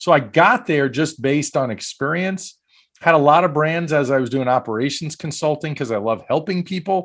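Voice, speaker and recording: A man with a Brooklyn accent speaks at a moderate pace, his intonation lively. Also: fairly high pitch for a man, very clean recording, silent background. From US Northeast, Brooklyn, New York. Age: 50s. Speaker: franchise broker. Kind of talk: podcast interview.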